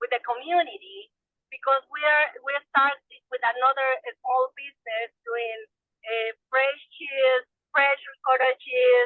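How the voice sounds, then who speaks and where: At a fairly slow pace with long, frequent pauses, a woman with a Salvadoran accent speaks in a high pitch and fairly even intonation. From El Salvador. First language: Spanish. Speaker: small farmer. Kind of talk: webinar discussion. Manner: halting.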